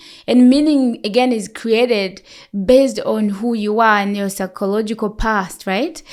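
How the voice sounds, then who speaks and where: A woman's fairly high voice with ordinary pitch variation. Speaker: nurse. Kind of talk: expert interview. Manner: loud; talkative.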